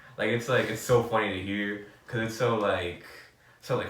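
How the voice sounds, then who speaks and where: A man speaks with an American accent. Room echo is audible, and there is noticeable background noise. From New York City. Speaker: podcast host. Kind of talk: casual chat. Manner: animated, many fillers.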